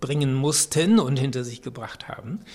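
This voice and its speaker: A man with a fairly high voice talks at a moderate pace, sounding somewhat breathy. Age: 70s. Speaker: social scientist and youth researcher. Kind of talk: interview.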